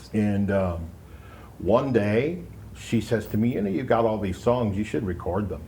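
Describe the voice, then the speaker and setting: With an American accent, a man speaks in a fairly low pitch with a dark, mellow tone, somewhat breathy, and audible room echo around him. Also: ordinary pitch variation, moderate pace. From US Pacific Northwest, Seattle. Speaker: musician, singer-songwriter, former radio presenter. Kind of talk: casual interview. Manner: relaxed, many fillers.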